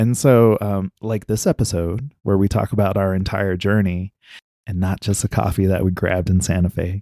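A man with a fairly low pitch and a dark, mellow tone speaks at a moderate pace with fairly even intonation, in a dry, close recording with no echo that is very clean against a silent background. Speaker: podcast host, digital nomad. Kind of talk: casual conversation. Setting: outdoors, roadside by car.

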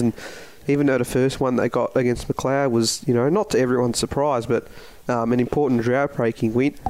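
With an Australian accent, a man talks at a medium pitch and with fairly even intonation. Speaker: podcast host and football caller. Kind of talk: sports podcast discussion.

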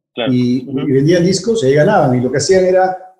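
The man's voice is fairly high, with ordinary pitch variation. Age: 50s. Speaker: business executive. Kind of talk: interview. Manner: halting, many fillers and repetitions.

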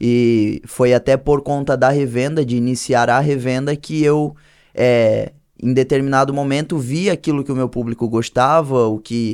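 Recorded very cleanly with a silent background, a man with a normal speaking voice talks at medium pitch and a moderate pace, with fairly even intonation. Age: 20s. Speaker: clothing brand owner and church youth leader. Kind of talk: casual chat.

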